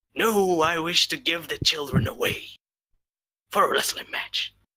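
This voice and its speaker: A raspy put-on character voice at a middle pitch and a moderate pace. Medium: actual play. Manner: blunt, oblivious.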